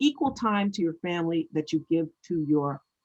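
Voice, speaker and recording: An unremarkable speaking voice at a moderate pace, with a dry, close sound and no echo. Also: woman. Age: 60s. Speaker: author and former nonprofit CEO. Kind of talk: interview.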